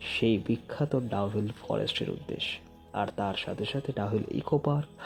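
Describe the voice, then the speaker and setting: Music plays in the background as a man speaks. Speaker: horror story narrator. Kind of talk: horror story narration, first-person.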